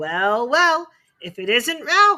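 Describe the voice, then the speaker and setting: A put-on character voice, raised and projected, with very wide pitch swings. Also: woman. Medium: read story. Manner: blunt, hearty.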